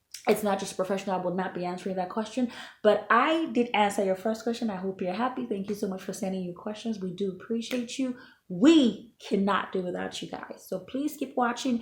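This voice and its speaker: Somewhat breathy, a woman speaks at a fairly quick pace with medium pitch and ordinary pitch variation. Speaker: health and lifestyle vlogger. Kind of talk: casual Q&A vlog answering viewer questions. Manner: conversational with many fillers.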